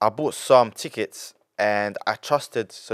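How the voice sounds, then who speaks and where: A man with a London accent speaks in an animated tone, the sound dry and close with no echo. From England. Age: 20s. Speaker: young entrepreneur. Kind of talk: casual interview.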